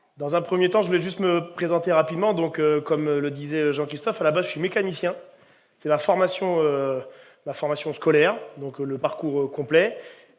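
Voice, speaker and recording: Intonation remains fairly even. The delivery moves fairly quickly. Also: man, fairly high pitch for a man. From Brittany, France (Ille-et-Vilaine). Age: 30s. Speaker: rugby coach. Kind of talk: conference talk. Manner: hesitant, many fillers.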